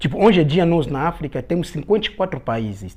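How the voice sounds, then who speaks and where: The speech comes at a fairly quick pace. It carries an Angolan accent. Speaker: guest from Angola. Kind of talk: casual interview.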